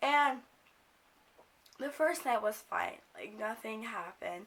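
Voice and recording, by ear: Speaking at a fairly slow pace, a woman has a fairly high pitch, a fairly bright tone and some vocal fry.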